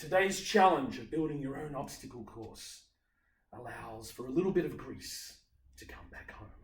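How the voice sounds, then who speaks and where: Speaking in a strong Australian accent, a man with a fairly high, somewhat breathy voice uses lively intonation and big swings in loudness. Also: moderate pace. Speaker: obstacle course racer. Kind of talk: casual talk to camera. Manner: upbeat.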